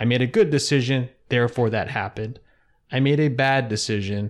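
With an American accent, a man in an ordinary speaking voice talks at a fairly quick pace. His intonation is fairly even, and the background is quiet. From US Mid-Atlantic (Philadelphia area). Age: 40s. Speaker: float center owner, entrepreneur. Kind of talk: casual interview conversation. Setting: in his own office.

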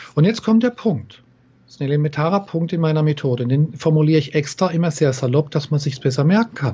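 Somewhat breathy and fairly high-pitched, a man's voice races along at a very fast pace with lively intonation. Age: 50s. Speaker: NLP trainer and coach. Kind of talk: interview.

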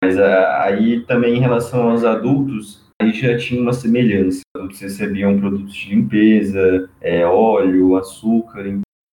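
This man has an unremarkable speaking voice, fairly low in pitch, with fairly even intonation. He talks at a fairly slow pace and hardly pauses. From Brazil, São Paulo state (São José do Rio Preto). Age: 20s. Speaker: engineering student. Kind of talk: casual interview.

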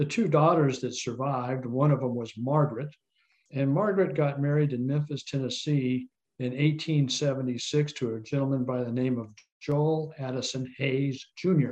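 The intonation holds fairly even throughout. Overall, it is an unremarkable speaking voice. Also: man, fairly high pitch for a man, moderate pace. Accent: American. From Colorado. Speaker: descendant of historical figure, tour operator. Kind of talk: interview, historical storytelling.

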